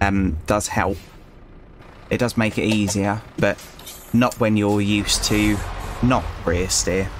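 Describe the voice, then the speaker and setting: Fairly low in pitch, a man speaks with a British accent at a fairly slow pace, his loudness very even. He leaves long, frequent pauses. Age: 30s. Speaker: gaming youtuber, former truck driver. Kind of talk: gameplay commentary. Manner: hesitant, many fillers.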